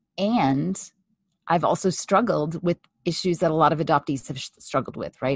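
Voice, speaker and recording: A woman with an American accent speaks at a fairly slow pace in a very deep, low pitch with vocal fry. The sound is dry and close, with no echo. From California. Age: 50s. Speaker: family therapist. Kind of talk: interview. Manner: halting.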